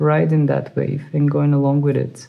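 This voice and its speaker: A woman with a non-native accent speaks at a very deep, low pitch in a dark, mellow tone. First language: not English. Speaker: tarot reader. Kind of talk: tarot reading monologue. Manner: hesitant, many fillers.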